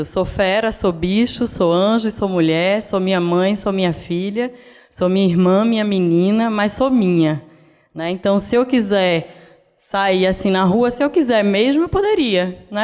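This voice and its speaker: With a northeastern Brazilian accent, a woman talks at a fairly slow pace and very even loudness. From Brazil, Northeast (Pernambuco). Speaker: designer. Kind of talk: lecture. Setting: stage with audience.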